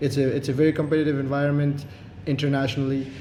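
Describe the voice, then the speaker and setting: A man's fairly high voice with an Arabic accent, audible room echo and music in the background. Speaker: social entrepreneur. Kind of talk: interview.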